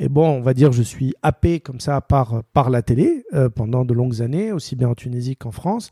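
A man's medium-pitched, dark, mellow, somewhat breathy voice at a moderate pace with hardly any pauses, ordinary pitch variation, and a dry, close sound with no echo. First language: Arabic (speaking French). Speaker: sports journalist. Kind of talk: interview.

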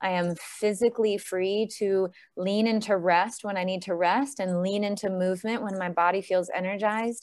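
With a normal speaking voice, a woman of medium pitch talks at a moderate pace with hardly any pauses and fairly even intonation, in a very clean recording with a silent background. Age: 40s. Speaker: gut health coach. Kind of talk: podcast interview.

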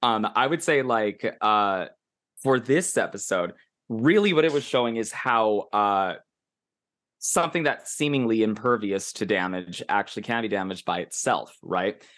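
Over a quiet background, a man talks in a normal speaking voice at a medium pitch. His intonation is lively. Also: moderate pace. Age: 40s. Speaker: anime podcast co-host. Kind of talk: casual chat.

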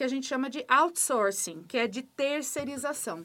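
This is a woman speaking. Her pitch is high. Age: 40s. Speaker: school principal. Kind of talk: interview.

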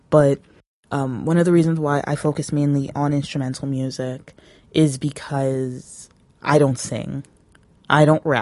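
A woman with a Canadian accent speaks in a very deep, low voice with a dark, mellow tone. Her delivery is monotone and flat at a fairly slow pace. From Canada, Toronto area. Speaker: music producer and podcaster. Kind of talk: casual solo monologue. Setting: handheld recorder, solo recording. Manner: hesitant, many fillers.

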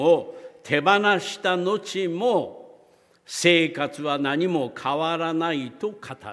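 Very slowly, a man speaks at a high pitch with lively intonation. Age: 70s. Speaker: retired pastor. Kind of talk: sermon.

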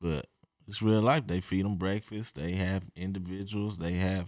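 Here a man speaks at a very deep, low pitch in an American accent. His pace is fairly slow, and the recording is very clean with a silent background. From Oklahoma (Edmond). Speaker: retired basketball player, podcast co-host. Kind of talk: casual chat.

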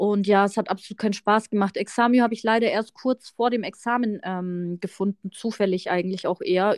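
A woman with a plain, everyday voice talks at a medium pitch and moderate pace. Her intonation is fairly even, and the sound is dry and close with no echo. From Munich, Bavaria. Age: 30s. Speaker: tax professional, podcast co-host. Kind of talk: casual chat.

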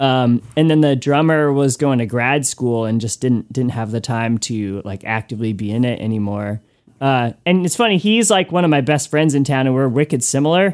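With an American accent and an unremarkable speaking voice, a man at medium pitch talks at a moderate pace with lively intonation and hardly any pauses, in a very clean recording with a silent background. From US Northeast, Connecticut. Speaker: musician and record maker. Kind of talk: casual interview.

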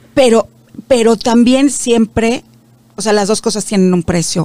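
A woman's fairly high voice, with normal rise and fall in pitch, comes across dry and close with no echo. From Mexico. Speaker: media founder. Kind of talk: interview.

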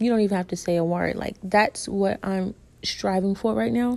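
At a moderate pace, a woman speaks with a medium pitch, ordinary pitch variation and a dark, mellow tone. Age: 20s. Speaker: podcast host. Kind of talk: casual monologue.

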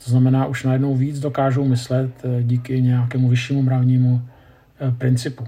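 A man's medium-pitched voice, fairly quick and flat in monotone. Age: 50s. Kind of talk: lecture.

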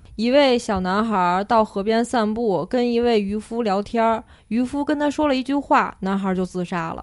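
An ordinary speaking voice at a moderate pace, with ordinary pitch variation and a quiet background. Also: woman, fairly high pitch for a woman, hardly any pauses. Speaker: podcast host. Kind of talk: casual chat.

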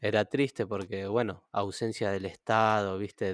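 Delivered at a moderate pace in a flat monotone, the voice has a dry, close sound with no echo on a very clean recording with a silent background. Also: man. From Argentina, Greater Buenos Aires (Moreno, Ciudad Oculta). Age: 30s. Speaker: photographer. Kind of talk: interview. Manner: halting, many repetitions.

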